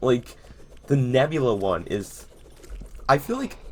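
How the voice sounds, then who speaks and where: This man's voice sits at a medium pitch. His intonation is lively. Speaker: gaming youtuber. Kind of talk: gameplay commentary. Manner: aggressive-sounding; casual, filler-heavy.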